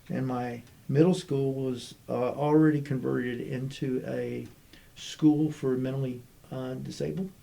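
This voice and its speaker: A man's dark, mellow voice at a fairly slow pace with ordinary pitch variation. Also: medium pitch for a man. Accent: American. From US South, Army brat raised partly in Germany and Texas. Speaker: state chief information officer. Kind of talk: casual interview chat. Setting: podcast recording.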